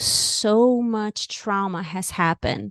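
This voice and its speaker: A woman speaks in a Brazilian Portuguese accent against a quiet background. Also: dry, close sound with no echo. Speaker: author and music therapist. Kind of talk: interview.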